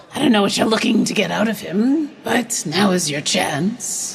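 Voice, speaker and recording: A woman puts on a raspy character voice at a medium pitch. She talks at a moderate pace over clear background noise. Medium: actual play. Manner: smooth, persuasive.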